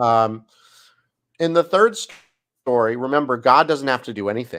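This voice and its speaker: On a very clean recording with a silent background, a man has a normal speaking voice at a medium pitch, speaking at a moderate pace with ordinary pitch variation. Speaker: rabbi and Bible study host. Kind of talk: Bible study lecture.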